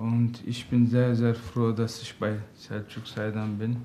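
A man with a Turkish accent at a very slow pace, medium in pitch, with a dark, mellow tone and monotone, flat intonation. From Turkey. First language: Turkish (speaking German). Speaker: father seeking counseling. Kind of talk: interview. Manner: halting.

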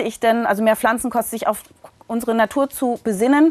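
An ordinary speaking voice from a woman with fairly high pitch and fairly even intonation, in a dry, close sound with no echo. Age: 50s. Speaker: physician and author. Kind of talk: interview.

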